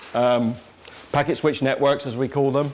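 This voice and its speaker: Noticeable background noise behind a man's fairly high voice at a moderate pace. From England. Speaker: cybersecurity expert, invited speaker. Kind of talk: lecture. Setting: lecture room with live audience. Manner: casual, joking.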